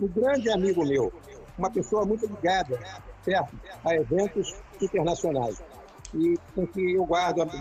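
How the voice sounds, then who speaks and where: Over music in the background, a man with a high voice and lively intonation speaks at a moderate pace with very even loudness and long, frequent pauses. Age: 70s. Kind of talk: casual reminiscing in a live video chat. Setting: live video call.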